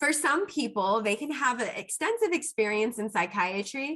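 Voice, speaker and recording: A woman speaks loudly at a moderate pace, her bright, sharp tone animated and her intonation lively. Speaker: psychiatric pharmacist. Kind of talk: Q&A talk to students.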